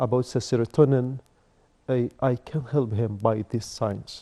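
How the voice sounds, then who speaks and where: A man speaks at a moderate pace in a medium-pitched voice with a dark, mellow tone and fairly even intonation. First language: Arabic. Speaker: life coach. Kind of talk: TV interview. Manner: halting.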